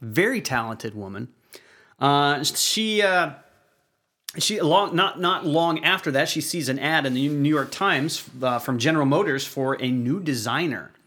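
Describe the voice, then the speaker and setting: At a moderate pace, a man with a fairly high pitch talks with lively intonation in a very clean recording with a silent background. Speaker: podcast co-host on auto repair. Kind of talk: casual chat.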